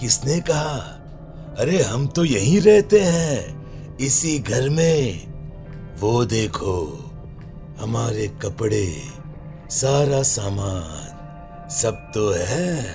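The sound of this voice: Over clear music in the background, a man uses a cartoonish character voice at medium pitch and a very slow pace.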